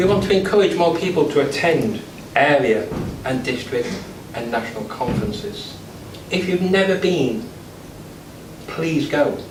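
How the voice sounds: Audible room echo surrounds a man speaking at a fairly slow pace. His fairly high pitch carries lively intonation.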